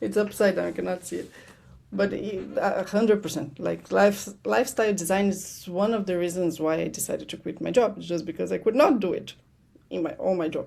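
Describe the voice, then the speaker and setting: The speaker talks at a fairly quick pace in a Portuguese accent. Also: woman. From Brazil. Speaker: money strategist. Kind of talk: podcast interview.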